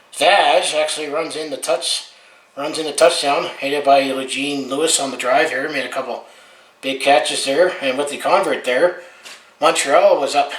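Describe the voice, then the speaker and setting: A man's fairly high voice with a western Canadian accent, at a moderate pace with fairly even intonation, in audible room echo and noticeable background noise. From Alberta, western Canada. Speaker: sports fan vlogger. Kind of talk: casual game recap monologue. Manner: casual, with frequent fillers.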